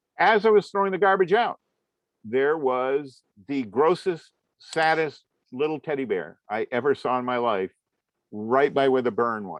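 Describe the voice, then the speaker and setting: A man with an American accent speaks at a fairly slow pace in a fairly high pitch. His pitch swings very widely. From US Northeast, Vermont (Waterbury area). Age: 60s. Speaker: comics artist and lecturer. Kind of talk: lecture. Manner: conversational, with frequent fillers.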